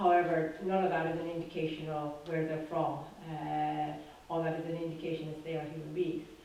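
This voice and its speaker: With a Dublin accent, a woman speaks fairly quickly in a very deep, low, monotone, flat voice, amid noticeable background noise and audible room echo. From Dublin, Ireland. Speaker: doctor, panelist. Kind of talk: panel talk. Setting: town hall panel with audience.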